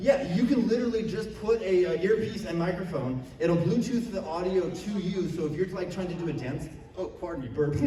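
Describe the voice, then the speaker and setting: Loud and fairly quick with hardly any pauses, a man speaks at a high pitch with ordinary pitch variation, amid noticeable background noise and audible room echo. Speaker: convention panelist. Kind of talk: convention panel talk.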